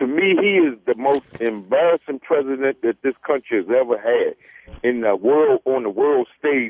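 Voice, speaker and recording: At a moderate pace, a man with a fairly high pitch uses a plain, everyday voice and ordinary pitch variation. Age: 60s. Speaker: caller. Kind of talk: call-in comment.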